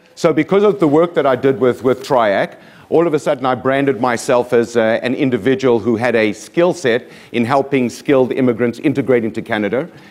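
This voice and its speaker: A man speaks at medium pitch. His pitch varies in an ordinary way. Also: fairly quick pace, very even loudness. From South Africa, Johannesburg. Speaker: motivational speaker. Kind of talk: keynote speech. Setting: stage with audience. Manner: energetic.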